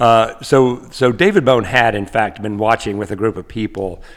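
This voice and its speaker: An ordinary speaking voice with an American accent moves at a moderate pace. The intonation stays fairly even. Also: man. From US South, Asheville, North Carolina. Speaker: professor. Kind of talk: casual chat.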